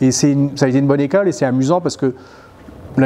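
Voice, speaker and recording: Ordinary pitch variation at a fairly quick pace. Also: man. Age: 50s. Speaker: novelist; interviewee. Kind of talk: interview. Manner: hesitant, with frequent fillers. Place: hall.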